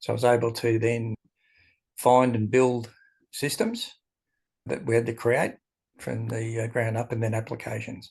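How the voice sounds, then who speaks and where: Over a quiet background, a man with an Australian accent speaks at medium pitch in a somewhat breathy, monotone, flat voice. His pace is moderate, broken by long, frequent pauses. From Australia, Melbourne. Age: 60s. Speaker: entrepreneur and esoteric writer. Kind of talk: interview.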